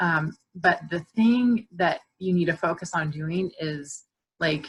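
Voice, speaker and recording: A woman speaks with an American accent at a very slow pace. Her voice is fairly low and somewhat breathy, with ordinary pitch variation. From Orlando, Florida, US South. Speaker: counselor. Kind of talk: talk to a group of moms.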